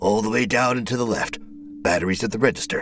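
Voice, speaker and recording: A man puts on a raspy character voice with a medium pitch and talks at a very fast pace. Clear background noise is heard behind him. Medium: read story. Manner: curt, blunt.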